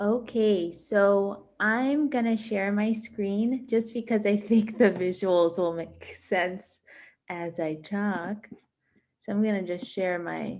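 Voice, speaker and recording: In a Miami accent, a woman speaks at a medium pitch with ordinary pitch variation against a quiet background. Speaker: exhibiting artist. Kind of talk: artist talk presenting own work.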